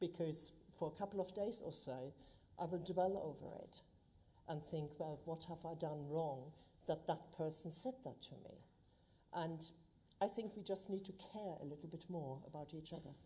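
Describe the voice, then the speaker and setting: With a German accent, a woman speaks in a fairly low, dark, mellow, somewhat breathy voice, with ordinary pitch variation and long, frequent pauses. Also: moderate pace. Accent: German accent, lasting. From Germany. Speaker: local councillor. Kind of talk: council meeting speech. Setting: council chamber, live streamed.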